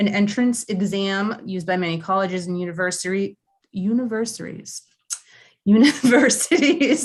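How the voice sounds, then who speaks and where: Mumbling in a put-on character voice, a woman speaks at medium pitch and a moderate pace with lively intonation. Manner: mumbling, stumbling over words.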